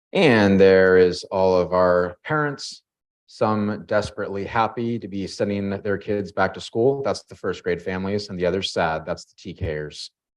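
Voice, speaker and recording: Over a quiet background, a man speaks at a moderate pace with ordinary pitch variation and big swings in loudness. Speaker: school district administrator. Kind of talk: presentation at a school board meeting.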